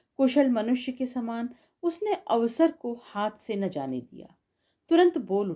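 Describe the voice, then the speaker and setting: A voice whose pitch swings very widely and whose loudness rises and falls sharply. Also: woman, fairly high pitch for a woman. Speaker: audiobook narrator. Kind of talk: literary story narration.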